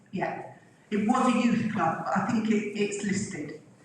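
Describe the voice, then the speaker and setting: A woman with a fairly high pitch and ordinary pitch variation speaks amid noticeable background noise and audible room echo. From England, Flitwick, Bedfordshire. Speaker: local resident sharing memories. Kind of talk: reminiscence talk with photos. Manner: hesitant, many fillers.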